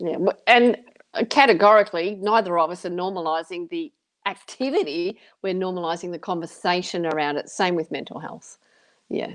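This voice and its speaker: At a fairly quick pace, a woman with an unremarkable speaking voice talks at medium pitch, with ordinary pitch variation and big swings in loudness. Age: 50s. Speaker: author and motivational speaker. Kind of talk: casual chat.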